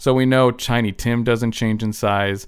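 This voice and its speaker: A man speaks in a plain, everyday voice at a medium pitch and moderate pace. The recording is very clean with a silent background. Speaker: non-medical podcast co-host. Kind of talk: casual comedic chat.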